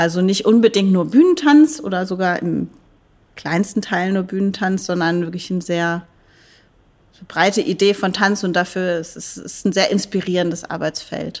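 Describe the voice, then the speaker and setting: With an ordinary speaking voice, a woman talks at a moderate pace and medium pitch, using ordinary pitch variation. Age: 40s. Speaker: dance professor. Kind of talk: interview.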